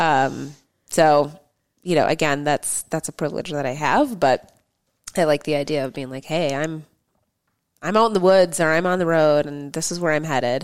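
On a very clean recording with a silent background, a woman with a very deep, low pitch and ordinary pitch variation speaks with long, frequent pauses. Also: moderate pace. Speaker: cyclist and racer. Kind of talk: casual chat. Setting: studio.

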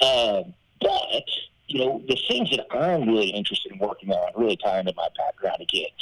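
A man with an American accent talks at a fairly quick pace. The sound is dry and close with no echo, though noticeable background noise comes through. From southern Arkansas, US South. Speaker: Senate candidate. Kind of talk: interview.

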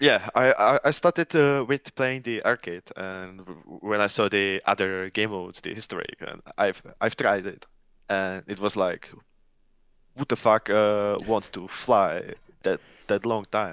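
Speaking with a Czech accent at a fairly slow pace, the voice has a dry, close sound with no echo against a quiet background. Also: man, fairly low pitch for a man, ordinary pitch variation. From Czech Republic. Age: 20s. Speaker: gamer and software developer. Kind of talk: casual chat. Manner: halting.

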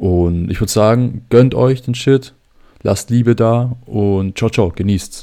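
In a Swabian accent, a man speaks at a very slow pace with a medium pitch. His tone is dark and mellow, with ordinary pitch variation. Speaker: livestream reaction host. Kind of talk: casual livestream chat. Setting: YouTube livestream.

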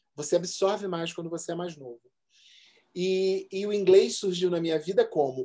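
This man's voice has a high pitch. Its tone is dark and mellow. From Rio de Janeiro, Zona Norte (Benfica). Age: 40s. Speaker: advertising professional and DJ. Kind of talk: casual chat.

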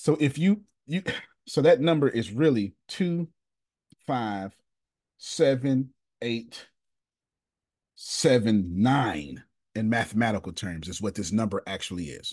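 Slow and raspy with a slightly husky edge, a man speaks in a slightly mellow tone with lively intonation and long, frequent pauses. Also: fairly low pitch for a man.

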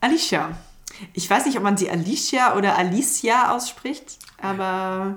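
Fairly slow, lively intonation, with audible room echo. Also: woman, medium pitch for a woman. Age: 20s. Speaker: film podcast co-host. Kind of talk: casual chat.

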